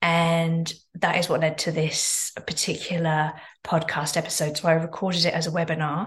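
Somewhat breathy, the voice keeps a moderate speed. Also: woman. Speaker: podcast host. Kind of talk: podcast intro and outro.

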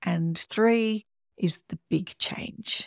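Recorded with a dry, close sound and no echo, a woman speaks with an Australian accent and lively intonation. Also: very clean recording, silent background. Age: 50s. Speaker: podcast host. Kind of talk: solo podcast monologue.

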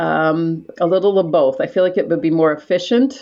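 A woman talks at a fairly quick pace. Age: 60s. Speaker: aspiring real estate entrepreneur. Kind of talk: coaching conversation. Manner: animated.

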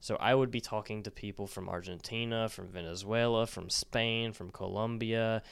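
In a very clean recording with a silent background, a man with an unremarkable speaking voice talks at a moderate pace and medium pitch with fairly even intonation. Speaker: Spanish teacher podcaster. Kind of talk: educational monologue with promo.

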